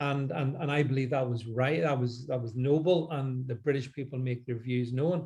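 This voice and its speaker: With a Northern Irish accent, a man talks at a moderate pace in a medium pitch, his tone dark and mellow, somewhat breathy, with fairly even intonation. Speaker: political commentator. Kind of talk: panel discussion. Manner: halting, many repeated words.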